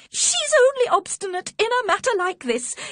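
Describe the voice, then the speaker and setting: A female-sounding voice performs a squeaky put-on character at an extremely high pitch. The pitch swings very widely at a moderate pace. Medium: read story.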